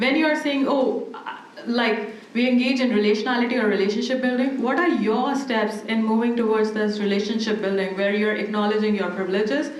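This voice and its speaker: A woman with a non-native accent speaks at a fairly quick pace in a fairly high voice. The room echo is audible, and background noise is noticeable. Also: ordinary pitch variation. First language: not English. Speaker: academic panelist. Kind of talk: panel discussion.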